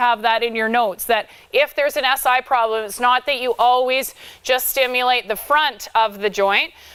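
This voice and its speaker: Loud and high-pitched, a woman speaks in a bright, sharp tone with ordinary pitch variation. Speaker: equine therapy instructor. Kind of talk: lecture. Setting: livestreamed hands-on class.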